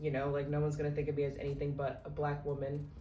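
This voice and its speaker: A woman speaks with a very deep, low pitch. Noticeable background noise and audible room echo are present. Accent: American. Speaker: vlogger, study abroad student. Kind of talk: casual vlog talk. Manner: casual, many fillers.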